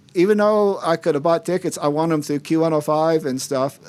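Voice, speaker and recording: A man with an unremarkable speaking voice and an American accent talks at a fairly high pitch with fairly even intonation, in a very clean recording with a silent background. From US South. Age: 60s. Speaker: painting specialist and karaoke host. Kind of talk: casual chat.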